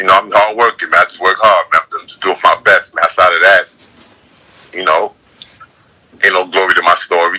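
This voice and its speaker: A man in a New York accent speaks at a fairly quick pace. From New York City, the Bronx. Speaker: YouTuber and blogger. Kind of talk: casual chat.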